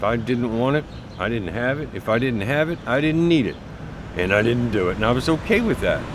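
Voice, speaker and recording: Amid noticeable background noise and audible room echo, a man speaks at a medium pitch and fairly quick pace with lively intonation. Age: 60s. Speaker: person with drug addiction. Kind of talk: documentary interview.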